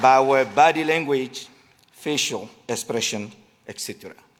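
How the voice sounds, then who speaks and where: Here a man speaks with a French accent. His pitch varies in an ordinary way. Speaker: direct support professional. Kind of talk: award acceptance speech.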